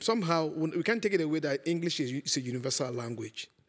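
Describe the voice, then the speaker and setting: A man with an African accent speaks at a fairly high pitch. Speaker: sitcom director. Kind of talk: talk show interview.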